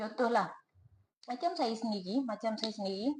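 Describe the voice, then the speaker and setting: A woman speaks with a Terengganu accent and ordinary pitch variation. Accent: Terengganu Malay. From Malaysia, Terengganu. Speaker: inheritance planning consultant. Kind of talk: tutorial. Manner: casual, repetitive.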